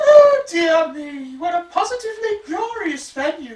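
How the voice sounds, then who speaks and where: A put-on character voice at an extremely high pitch swings very widely in pitch at a moderate pace. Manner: acted, exaggerated.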